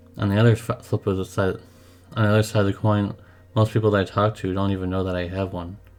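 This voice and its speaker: Music plays in the background. A man speaks at a fairly quick pace with a fairly low pitch in a monotone, flat intonation. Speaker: gaming youtuber. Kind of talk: unscripted personal vlog monologue. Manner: halting, repeats words.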